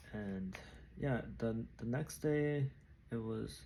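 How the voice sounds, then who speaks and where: Soft-spoken and somewhat breathy, a man with a dark, mellow tone talks very slowly at a medium pitch that swings very widely. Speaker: vlogger, amateur runner. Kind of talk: casual vlog monologue. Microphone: new microphone.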